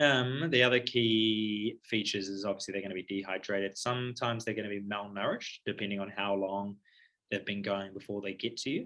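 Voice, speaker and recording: Fairly even intonation marks this man's speech. He has a fairly low pitch and a New Zealand accent. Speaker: paediatric surgery registrar. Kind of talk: lecture. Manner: fast; casual, filler-heavy.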